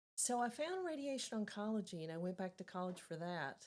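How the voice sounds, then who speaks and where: A woman speaks with a slight Southern US accent. Her pace is moderate. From Tennessee, Chattanooga. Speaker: volunteer, retired cancer center director. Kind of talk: podcast interview. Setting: studio.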